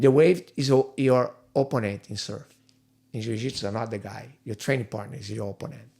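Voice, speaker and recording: Vocal fry marks this man's dark, mellow tone at a medium pitch, with ordinary pitch variation, big swings in loudness and a moderate pace. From Brazil, Rio de Janeiro. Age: 50s. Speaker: jiu-jitsu instructor. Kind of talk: podcast interview. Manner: halting.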